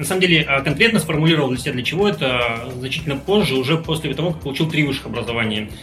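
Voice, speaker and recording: Music plays behind a man with a fairly high pitch and lively intonation, and the room echo is audible. He speaks at a very fast pace with hardly any pauses. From Russian Far East, Khabarovsk. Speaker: entrepreneur. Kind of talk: interview.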